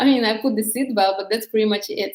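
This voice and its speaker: This woman's fairly high voice holds a monotone, flat intonation. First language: not English. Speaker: dating coach. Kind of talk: live stream talk. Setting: live stream on social media. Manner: halting.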